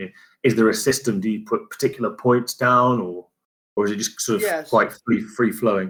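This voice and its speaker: In a very clean recording with a silent background, an unremarkable speaking voice moves at a fairly quick pace with ordinary pitch variation. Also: man, medium pitch for a man. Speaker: podcast host. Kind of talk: interview question.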